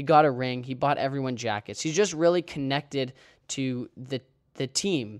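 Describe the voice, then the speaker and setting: At a moderate pace and medium pitch, a man with an ordinary speaking voice shows ordinary pitch variation, the sound dry and close with no echo in a very clean recording with a silent background. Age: 20s. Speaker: sports podcast host. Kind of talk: solo podcast monologue. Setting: recording while traveling.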